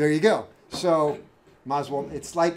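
A man talks at a moderate pace. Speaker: automotive instructor. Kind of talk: lecture. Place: classroom.

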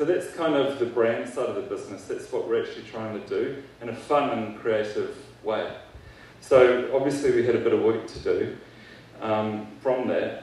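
A man talks at a moderate pace. The room echo is audible. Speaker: keynote speaker. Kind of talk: keynote speech. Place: hall.

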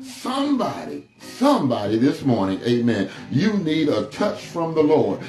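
A man speaks at a fairly slow pace, with audible room echo and faint music in the background. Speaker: pastor. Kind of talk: sermon. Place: empty room.

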